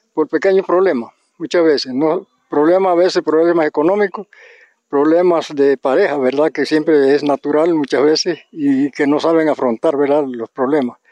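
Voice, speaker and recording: Dry and close with no echo, a man's fairly high voice has a dark, mellow tone. He speaks at a moderate pace with fairly even intonation. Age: 80s+. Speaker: farmer. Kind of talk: testimony. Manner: halting.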